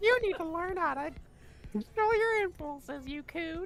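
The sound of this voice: Someone uses a put-on character voice at an extremely high pitch. The delivery moves at a moderate pace.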